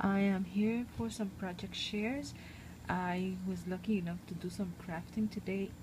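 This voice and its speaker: Soft-spoken and at a fairly slow pace, a woman talks at medium pitch with ordinary pitch variation over noticeable background noise. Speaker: crafting video maker. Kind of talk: crafting show-and-tell. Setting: at home. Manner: hesitant, many fillers.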